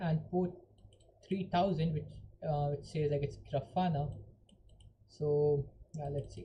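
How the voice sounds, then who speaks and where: A woman's very deep, low voice has vocal fry and a dark, mellow tone, moving at a moderate pace with ordinary pitch variation. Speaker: hacking tutorial streamer. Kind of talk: live tutorial. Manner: casual, filler-heavy.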